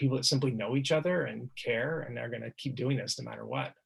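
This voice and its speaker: A man talks at a very fast pace with vocal fry. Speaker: poet and activist. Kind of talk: panel discussion.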